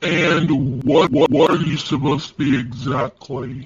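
A man uses a put-on character voice, raspy and fairly high-pitched. He talks at a moderate pace. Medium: dub. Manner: irritated, mocking.

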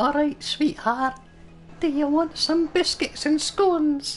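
A put-on character voice, high in pitch, at a fairly slow pace over clear background noise

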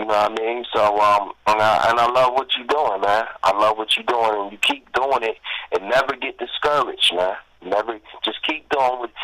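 Speaking at a moderate pace with fairly even intonation, a man at medium pitch has a plain, everyday voice. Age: 40s. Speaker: hip-hop artist. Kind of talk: casual interview.

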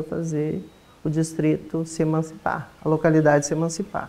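A woman's voice, fairly low in pitch. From southern Brazil. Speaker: local resident. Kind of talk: documentary interview. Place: church. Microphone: lapel.

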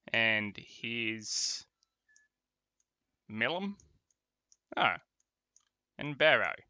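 The speaker has an Australian accent and a very slow pace. Long, frequent pauses break up speech with ordinary pitch variation. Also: man, medium pitch for a man. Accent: nasal Australian. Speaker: gaming live streamer. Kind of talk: casual live stream chat.

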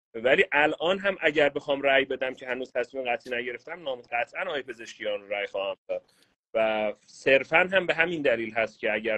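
Lively intonation at a very fast pace, quiet background. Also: man. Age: 30s. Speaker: caller. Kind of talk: casual chat. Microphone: video call.

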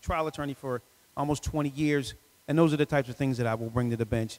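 Here a man talks very fast. His intonation is fairly even. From Philadelphia. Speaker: lawyer, judicial candidate; lawyer, candidate. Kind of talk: candidate forum Q&A. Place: church. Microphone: handheld.

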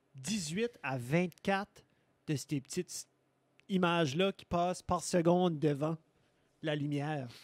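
Ordinary pitch variation comes through a dry sound with no echo against a quiet background. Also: man. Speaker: podcast co-host. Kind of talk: casual chat. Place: studio. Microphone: studio mic.

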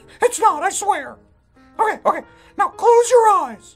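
A man's cartoonish character voice at a moderate pace, with faint music behind it. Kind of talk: puppet comedy sketch dialogue. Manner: impatient, brash.

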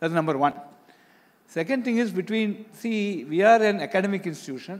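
Lively in intonation, a man talks at a fairly quick pace in an Indian accent. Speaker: institute director. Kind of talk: panel discussion. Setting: stage with audience. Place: stage. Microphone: handheld.

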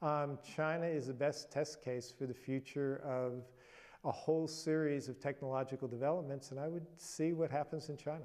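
A man with a dark, mellow tone and fairly high pitch speaks at a moderate pace. His intonation is fairly even, and the background is quiet. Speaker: history professor and author. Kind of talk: news interview soundbite. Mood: thoughtful, measured. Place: home room. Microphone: lapel.

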